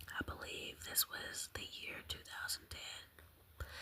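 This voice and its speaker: Someone is whispering. Noticeable background noise sits underneath. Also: woman. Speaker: ASMR content creator. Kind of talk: casual talk to camera, ASMR ramble.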